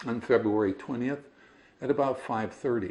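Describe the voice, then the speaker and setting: This is a man with an American accent. His intonation stays fairly even. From US Midwest, northern Indiana. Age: 60s. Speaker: business owner sharing personal story. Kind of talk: personal testimony.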